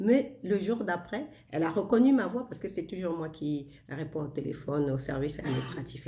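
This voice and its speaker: A somewhat breathy woman's voice, dark and mellow in tone, with very wide pitch swings and audible room echo. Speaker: self-help vlogger. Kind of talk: casual monologue. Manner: slow; soft-spoken.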